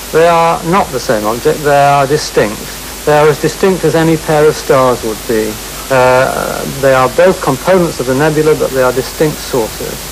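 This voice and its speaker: A man's fairly high voice, with ordinary pitch variation, moves at a moderate pace while noticeable background noise sits behind it. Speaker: astronomer. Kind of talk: TV interview answer. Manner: hesitant.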